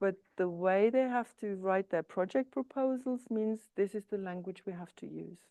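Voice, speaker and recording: The tone is dark and mellow, in a German accent with lively intonation. The sound is dry and close, with no echo. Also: woman. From East Germany. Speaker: psychotherapist. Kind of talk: lecture. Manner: hesitant, with filler sounds.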